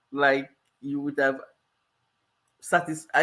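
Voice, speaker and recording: A woman with a Cameroonian accent, a very deep, low pitch and a fairly slow pace. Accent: Cameroonian accent, noticeable. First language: multilingual background, French and local languages. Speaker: life coach. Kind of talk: live stream Q&A.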